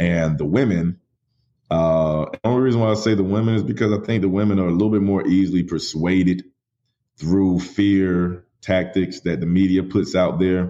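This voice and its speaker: A man speaks at a moderate pace with ordinary pitch variation. His voice is very deep and low, with a dark, mellow tone. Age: 30s. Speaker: podcast host, guest. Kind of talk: interview.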